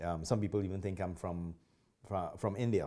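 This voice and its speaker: Moving at a fairly quick pace, a man talks in a very deep, low voice with a dark, mellow tone and fairly even intonation. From Trinidad. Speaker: martial arts instructor. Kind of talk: interview.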